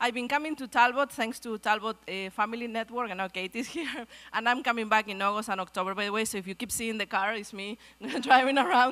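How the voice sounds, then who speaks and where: A very fast woman's voice with a Spanish accent, fairly high in pitch with ordinary pitch variation. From Argentina. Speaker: pediatrics researcher, guest speaker. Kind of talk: speech at a luncheon.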